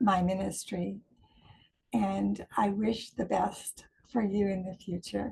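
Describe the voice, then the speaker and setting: This woman's voice is medium in pitch, somewhat breathy, with a dark, mellow tone. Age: 70s. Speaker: minister. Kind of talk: recorded video greeting.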